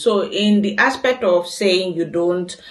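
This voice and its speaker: A woman speaks at a fairly slow pace in a fairly low pitch. Noticeable background noise runs under her voice. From Nigeria, Cross River State. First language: Cross River dialect (Nigerian language). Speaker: vlogger. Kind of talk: casual Q&A vlog.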